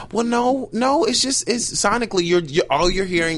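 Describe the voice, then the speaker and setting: A man speaks amid noticeable background noise. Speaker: panelist. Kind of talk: casual group chat.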